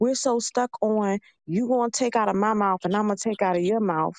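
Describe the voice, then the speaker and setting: The speaker has an unremarkable speaking voice with ordinary pitch variation. The pace is moderate, and the background is quiet. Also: woman. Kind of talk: casual chat.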